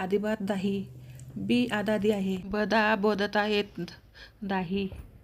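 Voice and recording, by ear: A woman's nasal, put-on character voice at medium pitch and a very slow pace.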